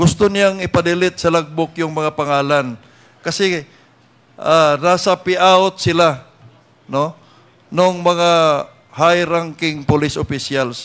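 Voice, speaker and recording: Pausing long and often, a man speaks very slowly in a high pitch with fairly even intonation. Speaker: congressman at hearing. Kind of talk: legislative hearing questioning.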